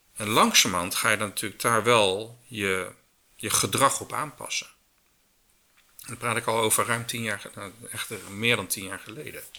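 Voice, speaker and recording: A man with a medium pitch and a bright, sharp tone speaks at a moderate pace, his loudness swinging widely while his intonation stays fairly even. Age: 50s. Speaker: circular economy business consultant. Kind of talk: interview.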